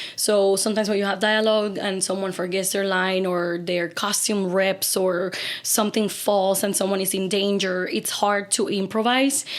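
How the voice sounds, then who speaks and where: With a Spanish accent, a woman talks at a fairly quick pace in a fairly even intonation over noticeable background noise. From Cuba. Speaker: opera singer. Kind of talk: casual chat.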